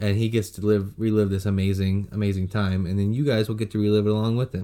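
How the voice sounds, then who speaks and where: A man with a plain, everyday voice and an American accent talks at a fairly low pitch and a fairly quick pace, with ordinary pitch variation. The recording is very clean, with a silent background. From Texas, San Antonio. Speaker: podcast co-host. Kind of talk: casual chat.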